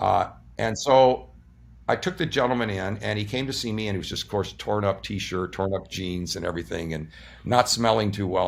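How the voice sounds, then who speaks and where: On a very clean recording with a silent background, a man with an unremarkable speaking voice talks at a fairly quick pace in a fairly low pitch. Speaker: surgeon and energy-practice teacher interviewed as a guest. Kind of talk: interview answer, explanatory talk.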